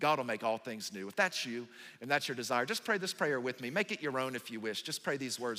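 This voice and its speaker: A man with a Southern US accent, medium pitch and a bright, sharp tone, on a very clean recording with a silent background. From US South. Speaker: pastor. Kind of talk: sermon.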